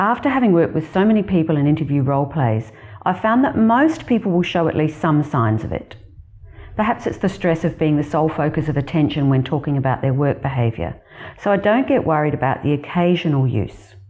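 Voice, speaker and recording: With noticeable background noise behind her, a woman speaks fairly quickly in a very deep, low voice that swings very widely in pitch. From Australia. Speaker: career coach. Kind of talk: scripted narration.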